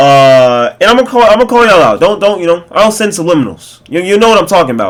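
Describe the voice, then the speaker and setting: A man shouting loudly, his intonation lively. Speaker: gaming streamer. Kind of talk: casual rant to camera. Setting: home facecam recording. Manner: loud, yelling; casual, filler-heavy.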